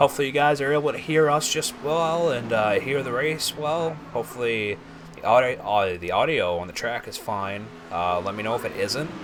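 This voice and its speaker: Lively intonation and an excited tone mark this moderately paced speech. Noticeable background noise can be heard. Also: man, medium pitch for a man. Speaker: sim racing commentator. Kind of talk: live commentary. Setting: broadcast booth. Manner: soft-spoken; excited during close racing.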